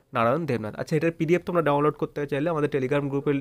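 A man speaks in a plain, everyday voice. His pitch sits fairly high, with ordinary pitch variation. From West Bengal, Nadia district. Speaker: exam prep tutor. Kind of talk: tutorial. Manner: repetitive, casual.

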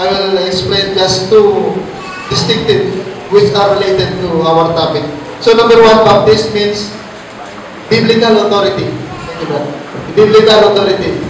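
A man with a high voice speaks at a moderate pace and with fairly even intonation. Light background noise and audible room echo are present. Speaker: Bible teacher. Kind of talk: Bible study teaching. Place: church.

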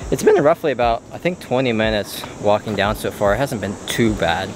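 The man's pitch sits fairly low, and the sound is dry with no echo. Noticeable background noise runs underneath. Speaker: travel vlogger. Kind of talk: casual vlog chat. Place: forest. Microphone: phone near.

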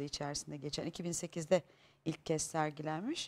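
A woman's voice sits very deep and low in pitch. She talks very slowly. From Istanbul (Pendik), Turkey; Turkey. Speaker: stage actress. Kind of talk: talk show interview. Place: studio. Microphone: lapel.

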